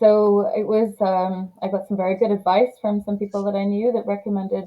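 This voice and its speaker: A woman speaks in an English accent at a medium pitch. Her pace is moderate and her intonation is monotone and flat. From England, Leeds. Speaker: lawyer. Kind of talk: interview.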